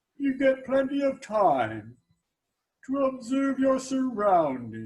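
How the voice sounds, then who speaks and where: A man puts on a character voice. His tone is deadpan. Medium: stage play. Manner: deadpan, slow.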